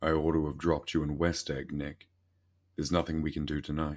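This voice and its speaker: Someone uses a gruff, put-on character voice, speaking fairly quickly in a monotone, flat intonation. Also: man, very deep, low pitch for a man. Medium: read story. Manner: gruff, authoritative.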